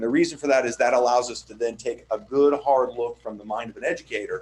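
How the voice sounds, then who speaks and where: The man rattles through his words at a very fast pace. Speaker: architect presenting to school board. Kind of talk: sales pitch.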